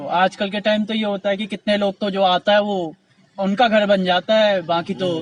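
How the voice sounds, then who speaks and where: In a dry, close recording with no echo, a man with a high-pitched voice speaks at a moderate pace with fairly even intonation. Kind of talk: interviewer, casual talk to camera.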